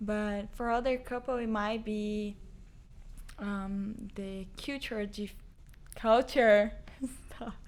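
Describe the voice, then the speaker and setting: Speaking at a very slow pace with long, frequent pauses, a woman with a Portuguese accent uses a fairly high pitch and monotone, flat intonation. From Brazil. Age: 20s. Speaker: host's girlfriend. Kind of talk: casual chat.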